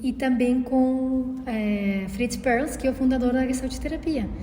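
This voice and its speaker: A woman's very slow speech amid noticeable background noise and audible room echo. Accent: Uruguayan. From Uruguay. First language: Spanish (speaking Portuguese). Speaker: podcast co-host, holistic therapist. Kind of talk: casual conversation. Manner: halting, many fillers.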